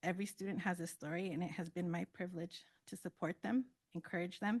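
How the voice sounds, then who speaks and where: A very fast, somewhat breathy delivery with fairly even intonation. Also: woman, dry, close sound with no echo. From US West Coast, Santa Cruz, California. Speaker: school counselor. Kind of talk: award acceptance speech. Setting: board meeting.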